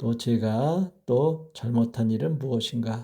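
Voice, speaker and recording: The voice has a dark, mellow tone and lively intonation, captured in a very clean recording with a silent background. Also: man. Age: 60s. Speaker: retired teacher, vlogger. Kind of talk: personal vlog monologue. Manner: hesitant with many filler sounds; formal.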